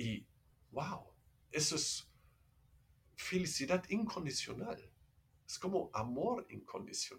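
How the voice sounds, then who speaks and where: With a German accent, a man speaks very slowly in a high pitch, his voice swinging very widely, broken by long, frequent pauses. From Germany. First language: German (speaking Spanish). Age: 50s. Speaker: meditation teacher. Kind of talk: casual chat. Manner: halting.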